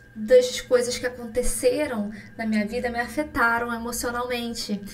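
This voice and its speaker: Speaking at a fairly slow pace with fairly even intonation, a woman with a Rio de Janeiro accent has a high pitch. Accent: Carioca Brazilian Portuguese. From Brazil, Rio de Janeiro. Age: 20s. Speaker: pharmacist and skincare podcaster. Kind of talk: casual solo podcast chat.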